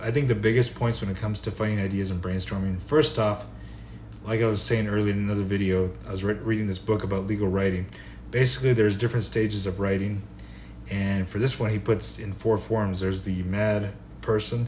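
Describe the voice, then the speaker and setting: Heard with audible room echo, a man speaks in a fairly low pitch. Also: ordinary pitch variation, fairly quick pace. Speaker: writing vlogger. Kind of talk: casual advice talk. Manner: fast; animated.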